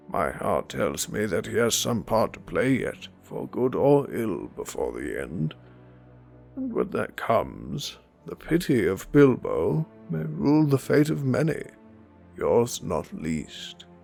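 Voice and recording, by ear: Faint music plays in the background. A man speaks in a put-on character voice. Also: fairly slow pace.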